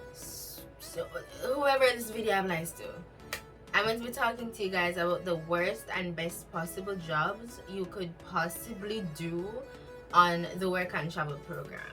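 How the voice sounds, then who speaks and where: Music plays in the background as a woman speaks at a fairly slow pace. Her pitch is medium, with ordinary variation. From Jamaica. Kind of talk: casual talk to camera.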